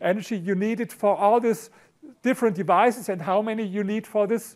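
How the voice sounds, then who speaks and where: A man with a German accent, high in pitch, with ordinary pitch variation and a fairly quick pace, in a very clean recording over a silent background. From Germany, Berlin. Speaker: author and speaker on economics. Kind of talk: conference talk. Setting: stage with audience.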